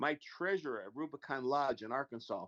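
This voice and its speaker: A man with a plain, everyday voice, moderate pace and lively intonation, in dry, close sound with no echo. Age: 60s. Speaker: freemason panel member. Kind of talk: casual chat.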